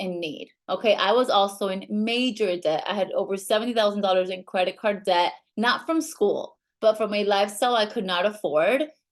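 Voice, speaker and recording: A woman with a Latin American accent, medium pitch, ordinary pitch variation and a moderate pace. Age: 30s. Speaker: network marketing leader. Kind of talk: sales pitch.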